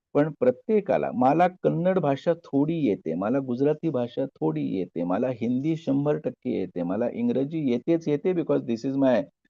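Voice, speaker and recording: With an Indian accent, a man speaks at a fairly slow pace and medium pitch, using very wide pitch swings. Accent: Marathi-accented Indian English. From Maharashtra, India. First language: Marathi. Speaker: professor. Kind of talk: lecture. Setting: video call.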